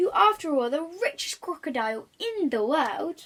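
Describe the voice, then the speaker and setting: A woman's put-on character voice, high in pitch, raised and projected, with very wide pitch swings. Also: moderate pace. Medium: read story.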